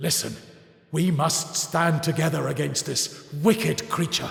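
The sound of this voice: Putting on a character voice, a man speaks fairly high with a fairly bright tone and vocal fry. His pace is fairly slow. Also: fairly even intonation.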